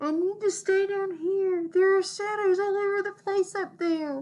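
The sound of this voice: A woman puts on a squeaky character voice at an extremely high pitch. Her intonation is fairly even and her pace moderate.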